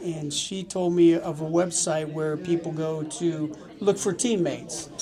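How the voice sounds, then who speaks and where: The speaker, with an American accent, keeps a fairly even intonation against noticeable background noise. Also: man. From Colorado, US. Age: 50s. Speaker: ocean rower. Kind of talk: interview.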